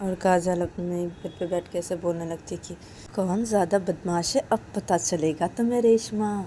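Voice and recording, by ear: Reading aloud in a natural voice, pitch varying in an ordinary way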